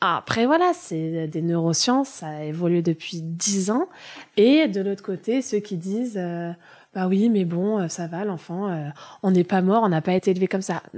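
With a plain, everyday voice, a woman speaks at a fairly slow pace and medium pitch with ordinary pitch variation on a very clean recording with a silent background. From Germany, moved to France at 9. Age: 30s. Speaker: early childhood educator and childminder. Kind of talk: casual interview conversation.

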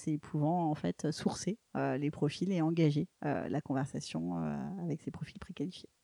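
In a dry, close recording with no echo, a woman speaks fairly slowly with a dark, mellow tone and ordinary pitch variation. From Paris, France. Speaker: tech startup CEO. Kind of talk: interview. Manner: hesitant, repeats words.

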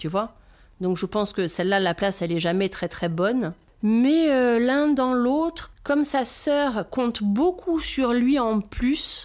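A woman with a Corsican accent at a high pitch, very slow, with very wide pitch swings and very even loudness, on a very clean recording with a silent background. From Corsica (south). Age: 40s. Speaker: brand founder, mother of four. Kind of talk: casual interview chat.

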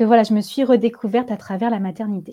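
A woman speaks at a fairly high pitch in a dark, mellow, somewhat breathy tone. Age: 30s. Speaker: yoga teacher and wellness practitioner. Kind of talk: casual interview. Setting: podcast recording.

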